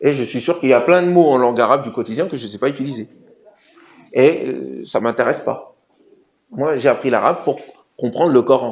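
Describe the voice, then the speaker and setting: This man's voice is fairly high in pitch. He moves at a fairly quick pace, and his pitch shifts in an ordinary way. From Senegal. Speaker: Islamic studies teacher and author. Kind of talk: Q&A talk about his book. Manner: hesitant fillers, conversational.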